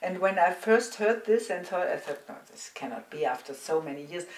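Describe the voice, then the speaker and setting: A woman speaks with a German accent. Noticeable background noise can be heard. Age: 60s. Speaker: psychotherapist. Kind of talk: interview. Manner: halting.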